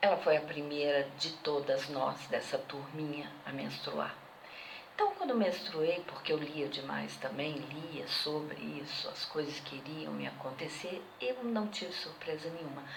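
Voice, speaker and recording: Speech comes at a fairly slow pace with ordinary pitch variation. There is audible room echo and noticeable background noise. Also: woman, very deep, low pitch for a woman. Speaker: interviewee. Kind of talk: testimony.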